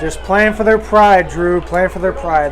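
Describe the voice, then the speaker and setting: A man talks at a moderate pace. Audible room echo and crowd noise sit in the background. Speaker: football color commentator. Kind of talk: live commentary. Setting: press box at stadium.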